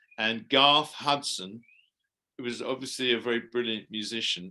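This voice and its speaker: A man with an English accent speaks at a moderate pace and medium pitch, his tone bright and sharp. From England. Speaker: musician and actor. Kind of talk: interview answer.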